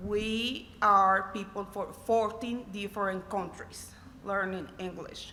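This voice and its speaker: This woman speaks at a very slow pace with a Spanish accent. Her voice sits at medium pitch with a bright, sharp tone. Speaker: college student, scholarship recipient. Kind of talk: personal testimony speech. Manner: halting, non-fluent English.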